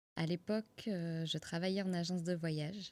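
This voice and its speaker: A woman speaks at a moderate pace with fairly even intonation and a fairly low pitch. Her tone is dark and mellow, and the sound is dry and close with no echo. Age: 30s. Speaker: yoga teacher and podcaster. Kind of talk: personal story monologue. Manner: hesitant, with fillers and repetitions.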